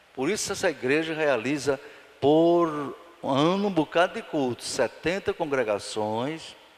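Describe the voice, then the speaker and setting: There is noticeable background noise behind a man with a fairly high pitch. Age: 70s. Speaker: pastor. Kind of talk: Bible study sermon. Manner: animated.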